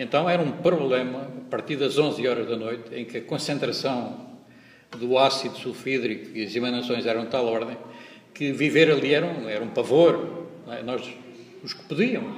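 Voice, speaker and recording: Recorded with audible room echo and noticeable background noise, a man speaks at a moderate pace and medium pitch, with ordinary pitch variation and big swings in loudness. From Portugal, Pernes (Santarém, Ribatejo). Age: 60s. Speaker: hospitality equipment technician, local activist. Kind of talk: interview testimony. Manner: halting, many repetitions and fillers.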